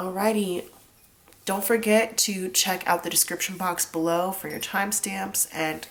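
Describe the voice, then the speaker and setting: Over noticeable background noise, the speaker talks at a moderate pace with fairly even intonation. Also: woman. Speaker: tarot reader. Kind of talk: tarot reading to camera. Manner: casual, chatty.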